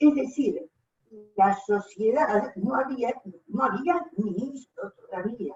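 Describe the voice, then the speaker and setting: A woman's high-pitched voice, very slow in pace, with lively intonation. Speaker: gender policy commission coordinator. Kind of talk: audience comment in online talk.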